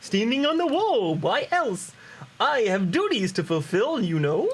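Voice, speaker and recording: A put-on character voice, fairly high in pitch with very wide pitch swings, at a moderate pace. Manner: exaggerated, comical.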